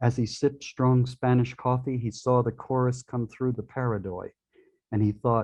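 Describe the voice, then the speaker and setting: Against a quiet background, a man with a New York accent talks at a moderate pace and medium pitch, his tone dark and mellow and his intonation monotone and flat. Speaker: poet. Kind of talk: reading aloud.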